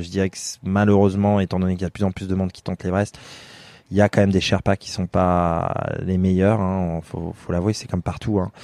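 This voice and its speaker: A man speaks with a very deep, low pitch and a dark, mellow tone. His intonation is monotone and flat, recorded dry and close with no echo. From France, Limousin. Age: 30s. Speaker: mountaineer. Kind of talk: interview. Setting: outdoors. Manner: halting.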